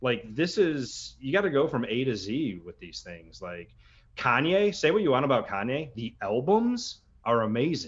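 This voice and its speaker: A man's medium-pitched voice with vocal fry, very wide pitch swings and big swings in loudness. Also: moderate pace. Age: 30s. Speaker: drummer. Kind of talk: casual chat.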